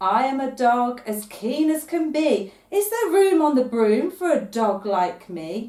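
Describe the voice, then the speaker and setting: A woman's high-pitched, put-on character voice with hardly any pauses. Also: fairly slow pace. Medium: read story.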